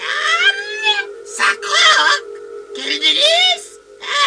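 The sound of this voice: What comes through is an unforced reading voice.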